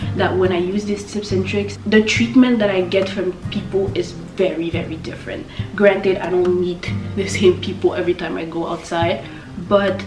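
A woman talks at a moderate speed. Clear music runs in the background. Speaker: lifestyle YouTuber. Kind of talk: casual talk to camera. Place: home room.

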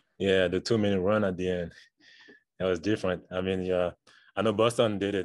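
The man's pitch is very deep and low, his intonation monotone and flat. The sound is dry with no echo against a quiet background. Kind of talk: interview answer. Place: meeting room.

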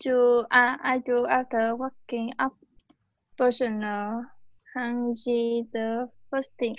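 Speaking very slowly with a Vietnamese accent, a woman holds a high pitch in a monotone, flat delivery. Long pauses come often. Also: quiet background. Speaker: English student. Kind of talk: oral English test. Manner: halting.

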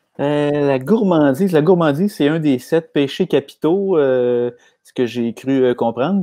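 With a Quebec accent, a man speaks in a dark, mellow tone, fairly high-pitched for a man with ordinary pitch variation, against a quiet background. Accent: Québécois French. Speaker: comedian. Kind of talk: live comedy chat. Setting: video call live stream. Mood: joking, animated. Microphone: earbuds.

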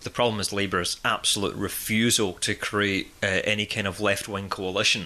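A man's fairly low voice in a Scottish accent, bright and sharp in tone, at a moderate pace with hardly any pauses. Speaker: podcast host. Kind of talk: casual chat. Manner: animated.

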